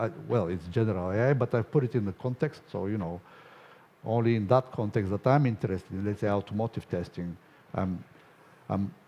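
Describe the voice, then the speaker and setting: Speaking at a fairly quick pace, a man with a Bulgarian accent has a fairly low pitch, a dark, mellow tone and ordinary pitch variation. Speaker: conference speaker, software testing company owner. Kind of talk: conference Q&A answer. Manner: hesitant, with fillers.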